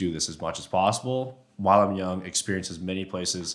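A man at a fairly quick pace with lively intonation, an ordinary speaking voice. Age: 20s. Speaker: elk hunter and caller. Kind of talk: casual chat. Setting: echoey podcast studio in a warehouse. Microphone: room echo.

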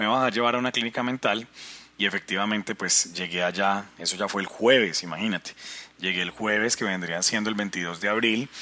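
An ordinary speaking voice from a man, fairly low in pitch. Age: 40s. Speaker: life coach podcaster. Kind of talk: personal testimony monologue.

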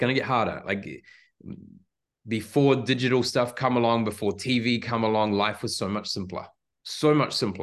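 With a New Zealand accent, a man speaks at a moderate pace and medium pitch, his intonation fairly even but his loudness swinging widely, against a quiet background. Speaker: high performance leadership expert. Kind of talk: casual interview.

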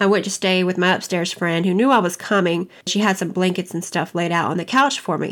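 A woman with an American accent and a normal speaking voice talks in a medium pitch with fairly even intonation on a very clean recording with a silent background. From US South, Kentucky and North Carolina. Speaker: personal storyteller, healing speaker. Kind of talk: personal testimony narration.

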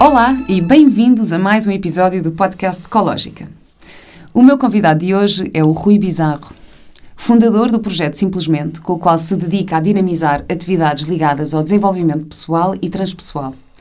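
Audible room echo surrounds a woman's dark, mellow voice. She talks at a moderate pace and medium pitch, with lively intonation. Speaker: podcast host. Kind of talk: casual interview; scripted introduction. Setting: podcast.

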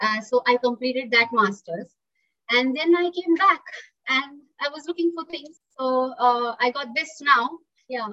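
A woman's raised, projected voice, high in pitch and bright and sharp in tone, at a fairly slow pace. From India, Pune (Maharashtra). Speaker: zoo animal behaviour worker. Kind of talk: interview.

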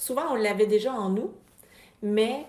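A woman speaks at a fairly slow pace with a fairly high pitch. Her intonation stays fairly even. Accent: Quebec. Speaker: podcast host, business coach for therapists. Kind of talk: motivational monologue.

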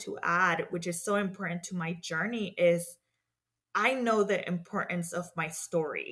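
A woman speaks in a Spanish accent at a medium pitch. Her tone is bright and sharp, her intonation fairly even. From Mexico. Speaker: community development professional in banking. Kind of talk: interview.

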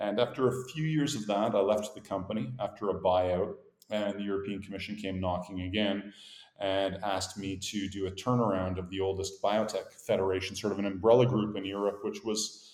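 An unremarkable speaking voice with a Canadian accent. It moves at a fairly quick pace with fairly even intonation. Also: man. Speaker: startup founder and CEO. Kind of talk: casual interview.

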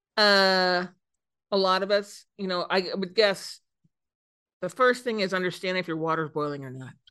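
Her tone is bright and sharp, her pitch medium with ordinary variation. The woman keeps a moderate pace, broken by long, frequent pauses. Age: 50s. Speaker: CEO of a PR agency. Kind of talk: casual interview.

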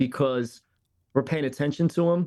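The speaker has an unremarkable speaking voice with an American accent. Pitch varies by an ordinary amount. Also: man. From Philadelphia, US. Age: 40s. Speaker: pastor. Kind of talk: interview.

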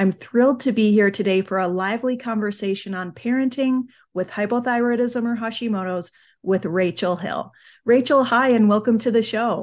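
Against a quiet background, a woman with an ordinary speaking voice and a fairly high pitch speaks at a moderate pace with ordinary pitch variation. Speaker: podcast host. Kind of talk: casual interview chat.

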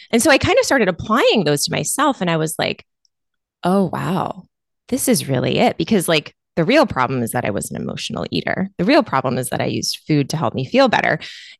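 At a fairly quick pace, a woman speaks with vocal fry and very wide pitch swings around a fairly low pitch, in a dry, close sound with no echo. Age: 30s. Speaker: nurse anesthetist and weight loss coach. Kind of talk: casual chat.

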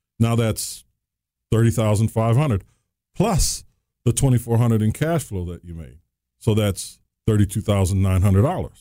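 A man's dark, mellow voice at medium pitch, moderate pace and ordinary pitch variation, with long, frequent pauses, on a very clean recording with a silent background. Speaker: real estate trainer and podcast host. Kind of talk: casual chat. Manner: jokey, laughs often.

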